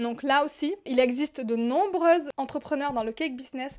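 A voice with a southern French accent speaks at a moderate pace with fairly even intonation. The recording is very clean, with a silent background. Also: woman. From southern France. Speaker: business coach podcaster. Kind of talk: solo podcast monologue.

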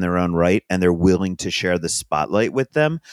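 A man at a very deep, low pitch, on a very clean recording with a silent background and a dry, close sound with no echo. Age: 50s. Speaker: food and music journalist. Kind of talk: interview conversation.

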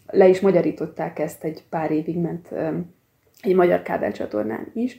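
A woman's fairly low-pitched voice with a dark, mellow tone, vocal fry, ordinary pitch variation and a moderate pace. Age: 40s. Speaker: archivist and genealogist. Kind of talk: interview.

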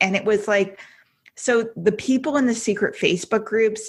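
The voice is somewhat breathy with fairly even intonation, captured on a very clean recording with a silent background. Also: woman. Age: 40s. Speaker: life coach. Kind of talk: interview.

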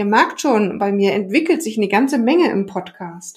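A somewhat breathy woman's voice, fairly high in pitch, at a moderate pace. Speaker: podcast host, nutrition therapist. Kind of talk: casual interview; podcast outro.

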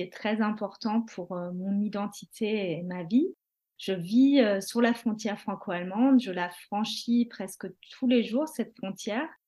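Her fairly high voice has a dark, mellow tone and a calm tone. The woman talks at a very slow pace with ordinary pitch variation. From France or Germany, bicultural. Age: 30s. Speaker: mother sharing mental health story. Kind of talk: testimony.

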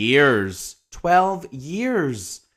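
Over a very clean recording with a silent background, a man's bright, sharp tone carries lively intonation. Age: 30s. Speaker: teacher and podcast host. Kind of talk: casual monologue.

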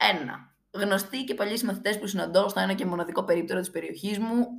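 Lively intonation shapes this woman's speech, which moves at a moderate pace. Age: 20s. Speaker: podcast host. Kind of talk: casual monologue.

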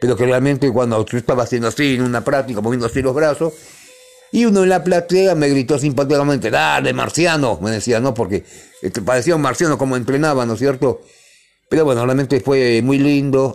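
Music plays in the background as a man speaks at a very even loudness. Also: medium pitch for a man, ordinary pitch variation, fairly quick pace. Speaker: radio co-host. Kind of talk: casual radio chat.

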